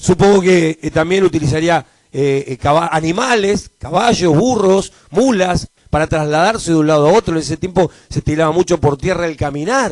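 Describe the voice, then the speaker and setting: A man speaks in a Rioplatense accent at a high pitch with ordinary pitch variation. His pace is moderate, and the sound is dry and close with no echo. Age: 60s. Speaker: pastor. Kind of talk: sermon. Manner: halting, frequent repetitions.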